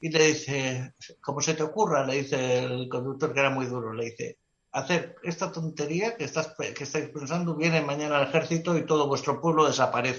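A man talks fairly quickly in a fairly high voice, with ordinary variation in pitch. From Spain, Basque Country (Biscay). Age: 60s. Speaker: travel photographer. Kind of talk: casual interview. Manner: animated.

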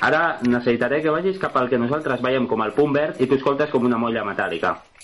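Over noticeable background noise, a man with a medium pitch and ordinary pitch variation speaks at a very fast pace. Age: young. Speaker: app developer. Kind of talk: product demonstration.

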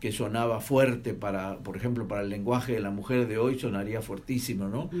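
Audible room echo surrounds a man's voice. He speaks at a medium pitch with ordinary pitch variation. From Argentina, Buenos Aires. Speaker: radio host. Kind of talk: casual chat.

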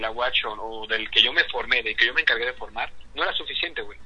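Background noise is noticeable behind a man's voice. He talks at a fairly quick pace. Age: 20s. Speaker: industrial engineer and musician. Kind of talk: casual chat. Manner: halting.

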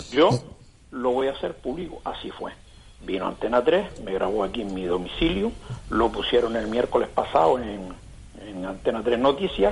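Very wide pitch swings from a man talking at a moderate pace, noticeable background noise behind him. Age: 60s. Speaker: caller, wheelchair user. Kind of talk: complaint story. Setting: phone call.

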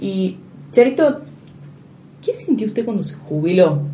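A woman speaks with lively intonation and long, frequent pauses. Noticeable background noise is present. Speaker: radio host. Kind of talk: radio interview. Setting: radio studio.

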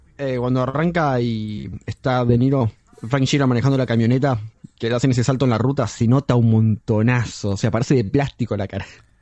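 There is noticeable background noise. A man speaks fairly quickly at a medium pitch with fairly even intonation. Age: 20s. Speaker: podcast co-host. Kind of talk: casual chat.

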